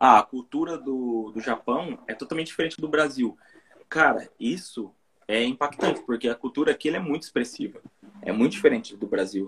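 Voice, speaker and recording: A man with a normal speaking voice talks at a moderate pace, his fairly high pitch moving in lively intonation. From interior of São Paulo state, Brazil. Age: 30s. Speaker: YouTuber, Brazilian immigrant in Japan. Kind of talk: casual live-stream interview.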